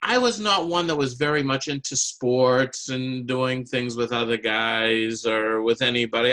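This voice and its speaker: Speaking at a moderate pace and medium pitch, a man has an unremarkable speaking voice. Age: 60s. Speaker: amateur public speaker and clarinetist. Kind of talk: prepared speech.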